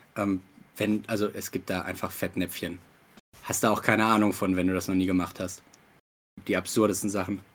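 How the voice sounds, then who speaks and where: A man's very deep, low voice, flat and monotone, at a fairly quick pace with long, frequent pauses, on a very clean recording with a silent background. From Ruhr area, Germany. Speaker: actor and game master. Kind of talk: casual chat.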